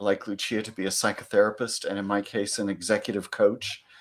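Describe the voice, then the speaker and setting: This man speaks with a Californian accent. The recording is very clean, with a silent background. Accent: American, Californian. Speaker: psychology lecturer and executive coach. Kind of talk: panel Q&A.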